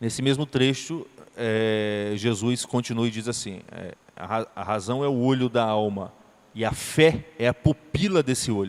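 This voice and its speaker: Fairly slow delivery with ordinary pitch variation. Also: man, medium pitch for a man. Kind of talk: lecture. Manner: halting.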